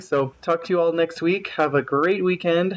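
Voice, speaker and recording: A man speaks with ordinary pitch variation. Noticeable background noise runs beneath him. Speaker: podcast listener leaving voicemail. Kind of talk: voicemail feedback. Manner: fast.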